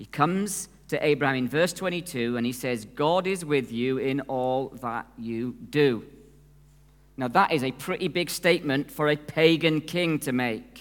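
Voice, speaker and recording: With a plain, everyday voice, the man talks at a fairly slow pace, his pitch fairly high and its variation ordinary. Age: 50s. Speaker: preacher. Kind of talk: sermon.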